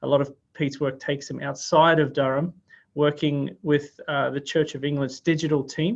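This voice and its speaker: In an Australian accent, a man with a fairly high pitch talks at a moderate pace and keeps his intonation fairly even. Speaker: workshop host. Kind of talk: event introduction. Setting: video call.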